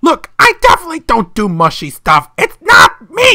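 In an extremely high pitch, someone performs a put-on character voice. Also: moderate pace. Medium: dub.

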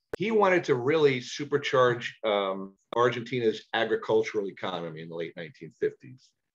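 Speaking with a New York accent at a moderate pace, a man with a medium-pitched voice barely pauses at all. His pitch swings very widely and his loudness varies a lot, over a quiet background. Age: 60s. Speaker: parrot enthusiast and speaker. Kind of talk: illustrated talk with Q&A. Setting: video call. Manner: articulate; entertaining. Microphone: webcam.

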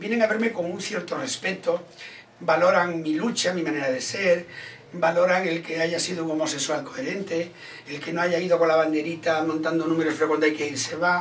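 Over light background noise, a man with a high pitch talks at a fairly quick pace with fairly even intonation. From Ourense, Galicia, Spain. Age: 60s. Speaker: comedian and actor. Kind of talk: interview answer. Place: home room.

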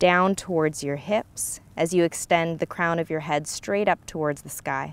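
A woman speaks at a moderate pace with fairly low pitch. Her pitch moves in an ordinary way, and the sound is dry with no echo. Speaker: yoga instructor. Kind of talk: guided yoga instruction. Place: open country.

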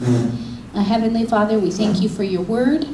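A woman speaks at a fairly slow pace. There is noticeable background noise. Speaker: pastor. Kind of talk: sermon. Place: church. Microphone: handheld.

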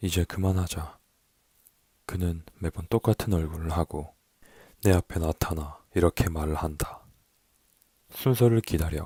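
Very slowly and with long, frequent pauses, a man speaks at a very deep, low pitch in a dark, mellow, somewhat breathy tone, the sound dry and close with no echo on a very clean recording with a silent background. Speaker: poetry narrator. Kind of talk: poetry reading. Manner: soft-spoken, slow.

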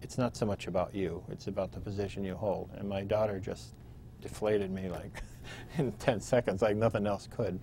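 A man with an American accent talks at a fairly quick pace, his fairly low voice dark, mellow and somewhat breathy. His pitch varies in an ordinary way, with light background noise present. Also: dry sound with no echo. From Pennsylvania. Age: 50s. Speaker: state legislator. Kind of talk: oral history interview. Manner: hesitant with fillers. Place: studio. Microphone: lapel.

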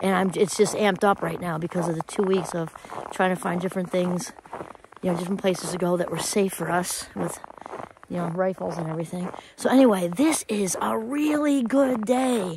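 A woman speaks over noticeable background noise, the sound dry with no echo. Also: fairly quick pace. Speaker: vlogger. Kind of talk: casual vlog chat. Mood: upbeat, grateful. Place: open country. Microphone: phone near.

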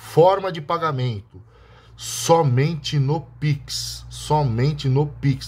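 A man with a Brazilian accent speaks in a somewhat breathy voice. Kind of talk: street-seller-style sales pitch. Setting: video to camera, showing the bottle. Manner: pushy, hard-sell urgency with stock and deadline pressure.

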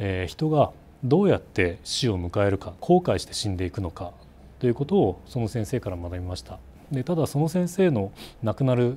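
A man's somewhat breathy, dark, mellow voice at a moderate pace, with very wide pitch swings. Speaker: company CEO. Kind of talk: interview. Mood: earnest, reflective. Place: office. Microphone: lapel.

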